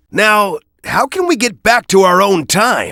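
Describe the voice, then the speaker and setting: A cartoonish character voice, fairly high in pitch and fairly slow in pace. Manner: serious.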